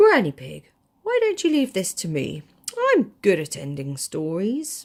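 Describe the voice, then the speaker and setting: Using a put-on character voice, a woman speaks fairly slowly at a medium pitch. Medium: read story.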